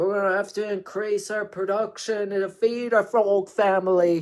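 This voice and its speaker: A man puts on a character voice with a high pitch, monotone flat intonation and a moderate pace, on a very clean recording with a silent background. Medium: read story.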